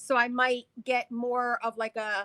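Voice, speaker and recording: A woman with a New Jersey accent speaks at a very slow pace in a high pitch. Her tone is bright and sharp, and the sound is dry and close with no echo. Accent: New Jersey American. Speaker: live stream host. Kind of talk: casual chat.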